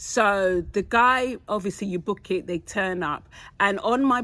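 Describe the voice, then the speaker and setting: A woman with a London accent, medium pitch, bright, sharp tone, fairly slow pace and ordinary pitch variation, in a very clean recording with a silent background. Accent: British, London. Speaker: podcast co-host. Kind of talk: casual chat, storytelling.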